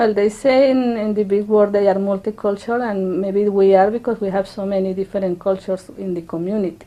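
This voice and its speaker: Speaking at a moderate pace with a Spanish accent, a woman uses a medium pitch, a dark, mellow tone and fairly even intonation. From Colombia. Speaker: immigrant interviewee. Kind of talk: interview testimony. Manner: halting.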